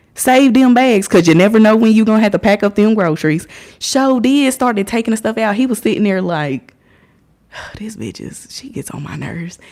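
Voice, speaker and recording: A woman with an American accent talks fairly quickly at a fairly high pitch, her intonation lively and her loudness swinging widely. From Indiana, US. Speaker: livestreamer. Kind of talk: casual livestream storytelling.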